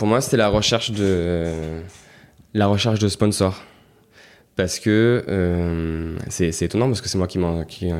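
A man's very deep, low voice at a fairly slow pace, with long, frequent pauses, ordinary pitch variation and a very clean recording with a silent background. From Marseille, southern France. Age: 30s. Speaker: festival founder. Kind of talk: interview. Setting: guest's office.

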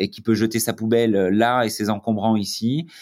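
A man's medium-pitched voice with fairly even intonation on a very clean recording with a silent background. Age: 30s. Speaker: tech startup founder. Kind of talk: interview. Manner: hesitant, many fillers and repetitions.

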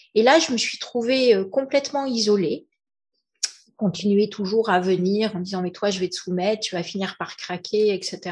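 A woman talks at a moderate pace and medium pitch. Her voice is somewhat breathy, with ordinary pitch variation. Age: 50s. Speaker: entrepreneur. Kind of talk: testimony. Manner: halting.

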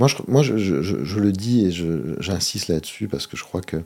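With a very deep, low pitch and a dark, mellow tone, a man speaks fairly slowly using lively intonation. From Monaco. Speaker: local politician and association president. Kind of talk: interview. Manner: halting, frequent repetitions.

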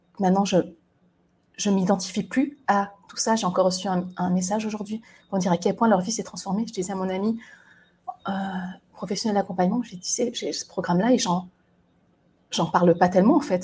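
Her voice is somewhat breathy, with a dark, mellow tone at a medium pitch, fairly even intonation, a fairly quick pace and long, frequent pauses. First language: not French (speaking French). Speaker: resilience coach and podcaster. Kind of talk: solo monologue. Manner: halting, with many hesitations.

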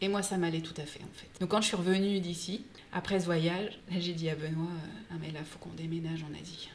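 Amid noticeable background noise and audible room echo, a woman with a fairly low pitch talks at a fairly quick pace with fairly even intonation. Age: 40s. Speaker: entrepreneur. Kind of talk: interview.

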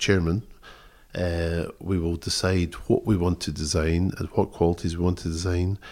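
On a very clean recording with a silent background, a man with a Scottish accent speaks at a very deep, low pitch with monotone, flat intonation. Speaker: textile designer. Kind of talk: interview. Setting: tweed mill. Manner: halting.

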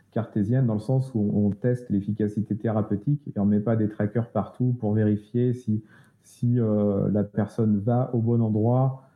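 Speaking fairly slowly, a man keeps a fairly low pitch and a flat, monotone intonation. His loudness stays very even. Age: 40s. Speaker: web agency co-founder. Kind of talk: interview. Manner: halting, many repetitions.

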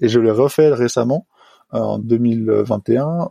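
Dry and close with no echo, a man's dark, mellow voice comes over a quiet background. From French Alps, Haute-Savoie. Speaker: highliner, tightrope walker. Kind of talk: interview testimony. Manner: hesitant, many fillers.

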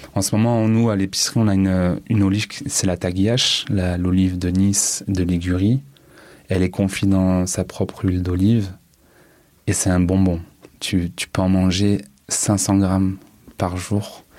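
With a very deep, low pitch, a man talks at a fairly slow pace in a monotone, flat intonation, keeping very even loudness and leaving long, frequent pauses. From Marseille, France (from age 9, born Paris area). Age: 30s. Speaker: cook. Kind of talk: testimony. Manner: halting.

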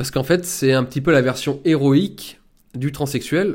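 A man with an ordinary speaking voice and a medium pitch talks at a moderate pace with ordinary pitch variation, on a very clean recording with a silent background. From rural France. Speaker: political commentator and author. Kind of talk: monologue book review.

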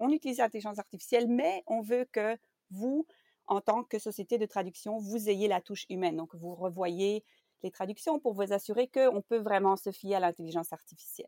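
In a very clean recording with a silent background, a woman speaks at a moderate pace with a dark, mellow tone, medium pitch and ordinary pitch variation. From Belgium. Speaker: translation project manager. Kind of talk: interview.

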